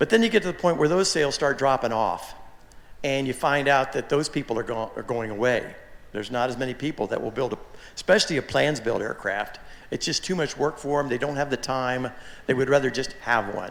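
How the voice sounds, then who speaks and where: Pitched in the medium range with ordinary pitch variation, a man talks at a fairly quick pace. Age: 60s. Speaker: aircraft kit manufacturer. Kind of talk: forum talk. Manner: halting, many repeated words.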